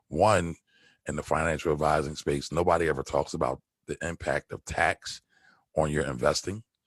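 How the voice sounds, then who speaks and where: A man with a Philadelphia accent speaks at a very deep, low pitch with vocal fry and fairly even intonation. The sound is dry and close with no echo, over a quiet background. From Philadelphia, US. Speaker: stock trader and tax preparer. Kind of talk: podcast interview. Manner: casual, conversational.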